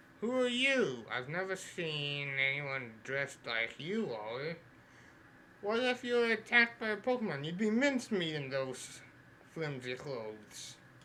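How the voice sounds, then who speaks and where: Over clear background noise, a man puts on a character voice at a fairly high pitch, speaking at a moderate pace with very wide pitch swings. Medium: game stream. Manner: reads on-screen text aloud.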